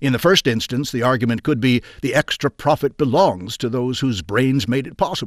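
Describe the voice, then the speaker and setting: Dry, close sound with no echo, a man with a plain, everyday voice at a moderate pace and ordinary pitch variation. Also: medium pitch for a man, very clean recording, silent background. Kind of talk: audiobook reading aloud of a 1920s industrialist's essay. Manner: formal, measured, steady narrator pace.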